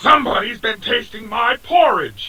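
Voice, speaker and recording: A put-on character voice growls. It moves at a moderate pace. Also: man. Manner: growling.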